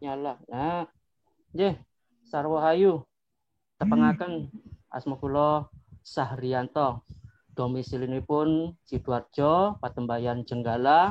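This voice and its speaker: With a fairly high pitch for a man, his speech very slow and broken by long, frequent pauses, a man keeps his pitch variation ordinary. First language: Madurese (speaking Indonesian). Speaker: branch leader of cultural group. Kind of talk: online meeting introduction.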